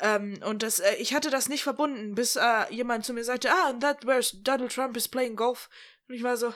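This is a woman's voice. Her pitch is high. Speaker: podcast co-host. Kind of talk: casual chat. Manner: animated.

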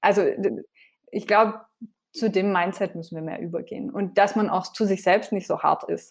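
A woman with an unremarkable speaking voice talks at medium pitch and a moderate pace with fairly even intonation. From France. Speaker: TV cook and vegan cookbook author. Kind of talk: casual interview.

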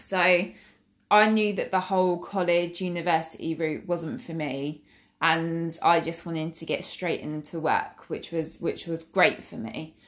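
A woman with an Essex accent speaks at a fairly slow pace. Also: very clean recording, silent background. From England, Essex. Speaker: accountant and dance school owner podcaster. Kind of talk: casual monologue. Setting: at home. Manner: hesitant, many fillers.

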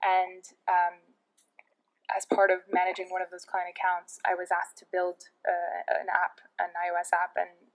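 A woman with a New York accent, medium pitch, and a fairly slow pace. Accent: New York American. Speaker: head of product at a tech startup and entrepreneur. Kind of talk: podcast interview.

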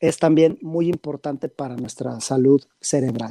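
Fairly slowly and with fairly even intonation, a man speaks at a fairly high pitch in a dark, mellow tone, the sound dry and close with no echo. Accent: western Mexican. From Mexico, Guadalajara. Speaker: psychiatrist. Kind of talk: interview. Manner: halting, many fillers.

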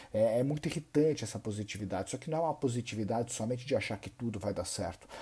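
Somewhat breathy and dark, mellow in tone, a man's voice sits at a medium pitch with ordinary pitch variation. He speaks at a very fast pace. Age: 30s. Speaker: personal finance content creator. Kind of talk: monologue to camera.

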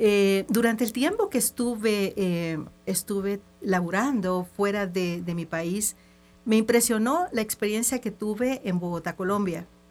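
Here a woman speaks at a medium pitch with ordinary pitch variation. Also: fairly slow pace. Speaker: image consultant. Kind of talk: radio interview. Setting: radio studio.

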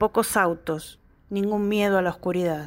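With an unremarkable speaking voice, a woman talks at a medium pitch and uses ordinary pitch variation. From Argentina. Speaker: graphic designer and poet. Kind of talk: poetry reading.

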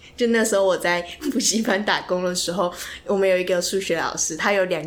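A woman at medium pitch speaking at a very fast pace, against noticeable background noise. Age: 20s. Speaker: podcast co-host, student. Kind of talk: casual chat.

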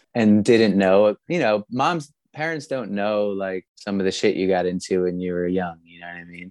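Over a quiet background, a man speaks at a fairly low pitch and a moderate pace, with hardly any pauses, ordinary pitch variation, big swings in loudness and a dry, close sound with no echo. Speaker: punk rock singer. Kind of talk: casual chat.

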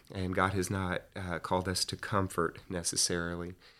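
With an American accent, a man speaks at a fairly quick pace in a very deep, low pitch. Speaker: ministry founder, rancher. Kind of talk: testimony. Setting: studio.

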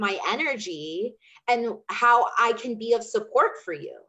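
Speaking in an American accent, a woman with a plain, everyday voice and a fairly high pitch uses lively intonation at a fairly slow pace. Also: big swings in loudness. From Chandler, Arizona (US Southwest). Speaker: energy healer and business coach. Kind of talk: casual interview chat.

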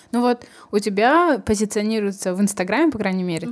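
Speaking at a fairly quick pace, a woman with an ordinary speaking voice keeps to medium pitch with lively intonation. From Kazakhstan. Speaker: podcast host. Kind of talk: casual interview chat.

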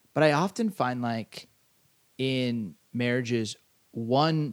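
A man with an American accent speaks at a medium pitch with ordinary pitch variation. His pace is very slow. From Southern California. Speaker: podcast co-host, pastor. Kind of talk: casual chat.

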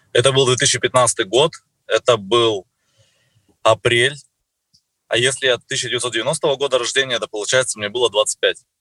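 A man at medium pitch speaks with a bright, sharp tone and fairly even intonation, in dry, close sound with no echo. His pace is fairly slow, with long, frequent pauses. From Russia, Surgut. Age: 30s. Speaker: network marketing distributor. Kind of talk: interview.

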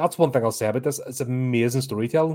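A man speaks at a medium pitch in a dark, mellow tone with fairly even intonation. The recording is very clean, with a silent background. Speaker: horror film reviewer. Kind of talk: solo film review livestream. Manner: rambling, many fillers.

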